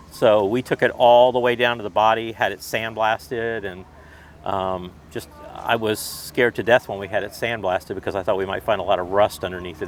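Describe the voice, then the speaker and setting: A man's fairly low, fairly even voice at a fairly quick pace. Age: 60s. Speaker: car club member, Porsche owner. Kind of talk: casual interview. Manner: halting, many repeats.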